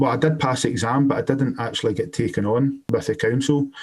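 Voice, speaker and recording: This man, with a Scottish accent, talks at a very fast pace with a fairly high pitch and ordinary pitch variation. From Scotland. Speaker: electrician and compliance business owner. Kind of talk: podcast interview. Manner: hesitant, many fillers.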